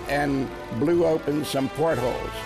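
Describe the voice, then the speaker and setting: Very slow delivery over clear music in the background. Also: man. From USA. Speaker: WWII navy veteran. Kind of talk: interview answer. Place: studio.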